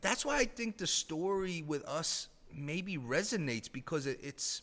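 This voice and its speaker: Speaking with an American accent, a man uses a high pitch, a bright, sharp tone and very wide pitch swings at a fairly slow pace. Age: 30s. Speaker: former hockey team president. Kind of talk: casual podcast interview. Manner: animated.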